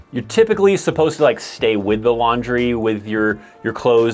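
Faint music plays behind a man as he talks. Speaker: army life video creator. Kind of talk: explanatory vlog talk. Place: home room.

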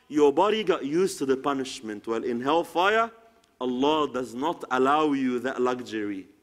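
With a quiet background, a man's speech moves at a moderate pace. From Egypt. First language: Arabic. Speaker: Islamic preacher. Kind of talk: sermon. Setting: lecture hall with audience. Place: hall.

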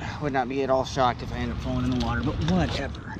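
Over clear background noise, a man talks fast at medium pitch with fairly even intonation.

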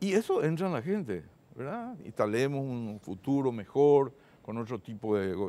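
A man's dark, mellow tone at a fairly slow pace, with very wide pitch swings. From northern Paraguay (Concepción); Paraguay. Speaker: supreme court judge. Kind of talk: TV interview. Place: studio. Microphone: lapel.

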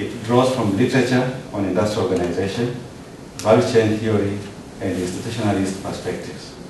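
There is noticeable background noise and audible room echo as a man with a fairly low voice speaks at a fairly quick pace, his intonation fairly even. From Tanzania. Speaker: PhD candidate. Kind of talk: prepared academic presentation. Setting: ceremony hall with audience and PA system. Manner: formal. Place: hall.

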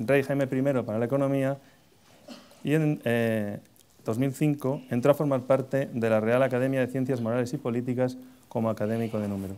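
Words come at a very fast pace from a man whose tone is dark and mellow. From Spain. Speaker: debate moderator. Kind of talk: moderating a debate. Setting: stage with audience. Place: hall.

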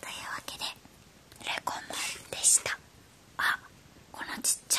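Speaking in a whisper, a woman keeps a fairly slow pace. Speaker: toy unboxing creator. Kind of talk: whispered ASMR toy unboxing. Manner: whispered. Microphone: phone near.

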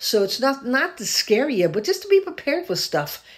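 With lively intonation, a woman talks at a moderate pace against a quiet background. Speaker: video blogger sharing a faith-based warning dream. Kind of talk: casual vlog chat, preachy testimony. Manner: casual, earnest, conversational storytelling. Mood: earnest, urgent warning. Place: home room. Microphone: phone near.

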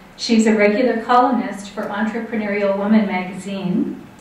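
A woman is speaking. Room echo is audible. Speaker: event host introducing an author. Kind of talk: speaker introduction. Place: hall.

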